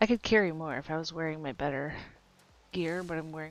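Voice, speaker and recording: A woman talks in a normal speaking voice at a fairly quick pace. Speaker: game streamer. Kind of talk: casual gameplay chat. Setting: home livestream while partner is in meetings.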